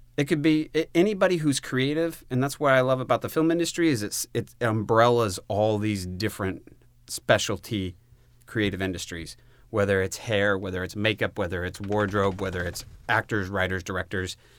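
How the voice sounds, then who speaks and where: A man with a normal speaking voice and a fairly low pitch talks at a moderate pace with lively intonation. The recording is very clean, with a silent background. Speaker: filmmaker and producer. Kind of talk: casual chat.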